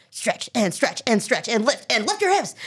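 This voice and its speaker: A put-on character voice, fairly high in pitch, swings very widely up and down at a fairly slow pace. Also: female-sounding voice. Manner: encouraging, coaching.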